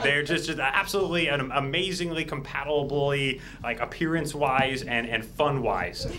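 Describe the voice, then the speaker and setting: Amid noticeable background noise, an enthusiastic man with a fairly high pitch talks at a moderate pace with hardly any pauses and ordinary pitch variation. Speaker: stream technical director. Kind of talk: casual live banter. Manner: enthusiastic, jokey.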